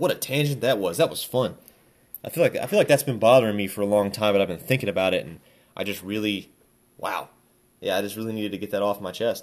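A man's fairly low voice at a very fast pace, with big swings in loudness and ordinary pitch variation. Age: 20s. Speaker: tattoo artist and podcast host. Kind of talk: solo monologue. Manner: casual, rambling riffing.

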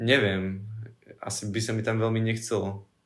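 A man's monotone, flat delivery at a moderate pace, with audible room echo. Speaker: podcast host, student. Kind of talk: casual chat.

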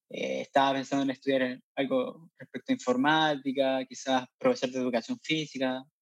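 A man with a Chilean accent speaks at a moderate pace in a fairly high pitch, the sound dry and close with no echo. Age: 20s. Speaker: missionary. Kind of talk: interview.

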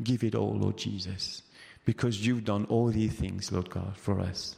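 In a Mauritian accent, a man speaks at a moderate pace with a dark, mellow tone and flat, monotone intonation. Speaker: preacher. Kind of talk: sermon. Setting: church. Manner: halting, hesitant with fillers.

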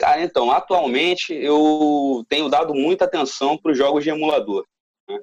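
A man with a normal speaking voice, fairly high pitch and ordinary pitch variation, at a moderate pace, in a dry, close sound with no echo. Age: 30s. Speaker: gaming podcast panelist. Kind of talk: casual chat.

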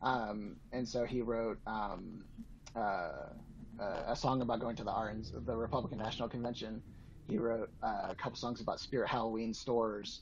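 Audible room echo colors the voice of a man with an American accent, speaking at medium pitch and a moderate pace with fairly even intonation. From Atlanta, US South. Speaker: podcast guest. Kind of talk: casual chat.

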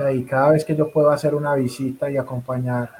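Dark and mellow in tone, a man's medium-pitched voice comes across somewhat breathy and monotone, with flat intonation. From Colombia. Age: 30s. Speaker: rugby player turned coach. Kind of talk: interview.

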